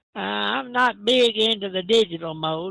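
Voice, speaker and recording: This man's voice sits at a high pitch. He talks at a moderate pace. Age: 70s. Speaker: amateur radio operator, volunteer firefighter. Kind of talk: radio net check-in.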